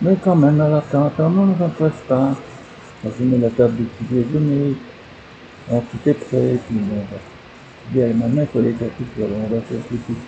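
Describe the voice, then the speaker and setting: Fairly quick pace with long, frequent pauses, ordinary pitch variation and noticeable background noise. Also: man, medium pitch for a man. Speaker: vlogger. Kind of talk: personal video diary. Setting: at home. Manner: whispering, speaking very quietly; halting, with many hesitations.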